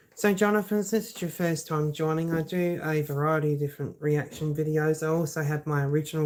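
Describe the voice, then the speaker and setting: The speech runs at a fairly quick pace with hardly any pauses. The recording is very clean with a silent background. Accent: Australian. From South Australia. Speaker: YouTuber reacting to videos. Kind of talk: live stream reaction chat. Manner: casual, hesitant with many fillers.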